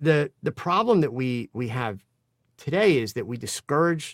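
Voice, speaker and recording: A man talks at a moderate pace and a medium pitch, with very wide pitch swings. The recording is very clean, with a silent background and a dry, close sound with no echo. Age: 60s. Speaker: photographer and photo educator. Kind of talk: casual chat.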